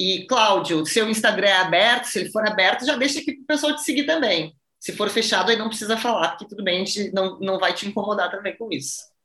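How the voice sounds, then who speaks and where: Speaking at a very fast pace with hardly any pauses, a woman with a medium pitch sounds animated, her intonation lively and her loudness swinging widely. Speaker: wine podcast host. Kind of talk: interview.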